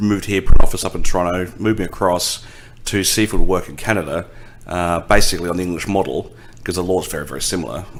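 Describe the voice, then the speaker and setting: In an Australian accent, a man speaks at a very fast pace with a very deep, low pitch. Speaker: insurance company lawyer and executive. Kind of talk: podcast interview. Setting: law office.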